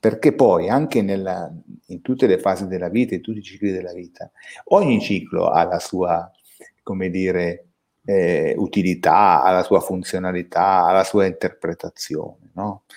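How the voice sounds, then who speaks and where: This man talks at a moderate pace in a very deep, low pitch. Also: ordinary pitch variation, big swings in loudness. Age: 50s. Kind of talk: casual chat.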